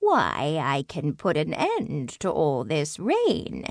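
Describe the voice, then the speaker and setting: A woman speaks very slowly in a put-on character voice pitched very deep and low. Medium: read story. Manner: sweet but sly.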